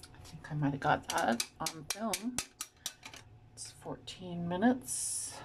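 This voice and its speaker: A woman with a fairly low pitch speaks at a very slow pace, her pitch swinging very widely, with long, frequent pauses over noticeable background noise. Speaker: vlogger. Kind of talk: casual talk to camera. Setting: at home in front of a mirror. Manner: soft-spoken. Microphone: may be too quiet.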